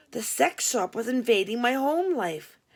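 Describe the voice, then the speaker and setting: A put-on character voice, raspy and full of very wide pitch swings, moves at a moderate pace on a very clean recording with a silent background. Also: woman, high pitch for a woman. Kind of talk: humorous memoir reading. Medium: read story. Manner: conversational, wry.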